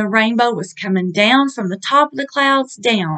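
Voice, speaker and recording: With a quiet background, a woman talks at a moderate pace. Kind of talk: casual vlog chat. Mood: awed, earnest. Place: home room. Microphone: webcam.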